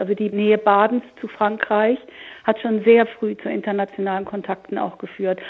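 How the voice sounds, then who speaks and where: Flat, monotone intonation from a woman at medium pitch and moderate pace. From Hamburg. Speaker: historian. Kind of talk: panel discussion.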